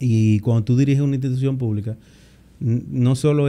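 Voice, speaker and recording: A man speaks at a moderate pace in a dark, mellow tone. His intonation is monotone and flat. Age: 40s. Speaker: government minister. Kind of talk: interview. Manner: halting, many fillers and repetitions.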